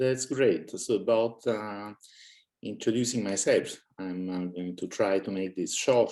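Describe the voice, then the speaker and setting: A man with an Italian accent, a dark, mellow tone and ordinary pitch variation. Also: fairly low pitch for a man, fairly slow pace. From Italy. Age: 60s. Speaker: author and cosmist, guest. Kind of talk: casual interview chat. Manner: hesitant, many fillers.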